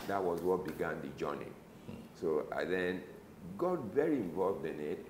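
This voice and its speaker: Light background noise and audible room echo surround a man speaking at a moderate pace with very wide pitch swings. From Nigeria. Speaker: retired medical doctor, anti-drug ministry director; interview guest. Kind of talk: interview. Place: office. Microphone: lapel.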